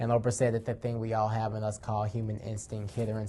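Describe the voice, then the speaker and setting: A man speaks at a fairly quick pace and medium pitch in a dark, mellow tone, somewhat breathy, with monotone, flat intonation. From Atlanta, Georgia. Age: 20s. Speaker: youth advocate. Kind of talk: personal testimony and advocacy speech.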